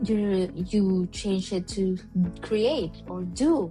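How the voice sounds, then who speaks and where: A woman's voice over background music. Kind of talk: casual talk to camera.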